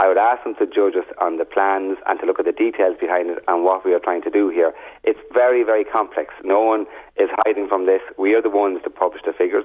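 A man with an Irish accent at a very fast pace. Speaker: junior housing minister. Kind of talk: radio interview.

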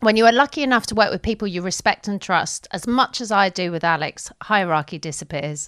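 A woman with a London accent talks at a fairly quick pace and medium pitch, with very wide pitch swings. The recording is very clean, with a silent background and a dry, close sound with no echo. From London, England. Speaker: podcast co-host and interviewer. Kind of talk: casual chat.

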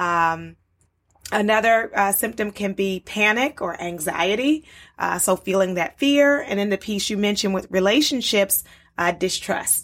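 A woman with an American accent speaks at a fairly slow pace in a plain, everyday voice, at medium pitch with ordinary pitch variation. The recording is very clean, with a silent background. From US, Baltimore. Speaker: psychologist. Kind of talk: interview.

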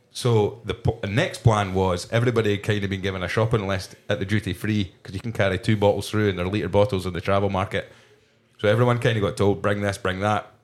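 Very fast speech from a man, fairly low in pitch and fairly even in intonation. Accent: Scottish. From Scotland, Fife. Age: 30s. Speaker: podcast host. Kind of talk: casual chat. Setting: pub back room.

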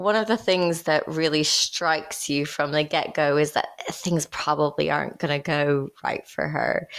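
A woman with an American accent speaks in a very deep, low voice at very even loudness. She hardly pauses, and noticeable background noise sits behind her. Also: moderate pace. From United States. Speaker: podcast host and screenwriter. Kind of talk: casual chat.

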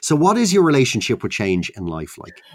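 This man speaks with an Irish accent, his pitch swinging very widely. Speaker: podcast host. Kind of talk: casual interview.

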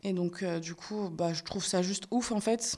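Dark and mellow in tone, a woman speaks with fairly even intonation. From France. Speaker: dancer and activist. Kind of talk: interview. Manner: frequent hesitations (euh).

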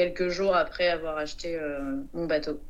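Fairly low for a woman, her voice is an ordinary speaking voice with fairly even intonation. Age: 30s. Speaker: sailor. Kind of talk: interview.

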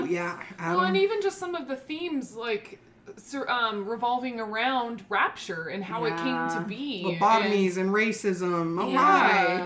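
Over noticeable background noise, a woman talks at a moderate pace in a fairly high pitch with lively intonation. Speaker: podcast co-host discussing video game movies. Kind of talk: casual, conversational.

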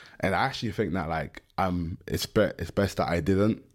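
A man with a London accent, fairly low-pitched and fairly quick, with fairly even intonation on a very clean recording with a silent background. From London (Stratford, east London). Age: 20s. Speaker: American football player. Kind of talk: casual interview chat.

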